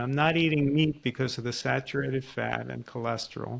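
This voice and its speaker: With a normal speaking voice, a man talks at a fairly quick pace, holding a medium pitch and fairly even intonation. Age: 60s. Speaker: podcast host and author. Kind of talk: casual chat.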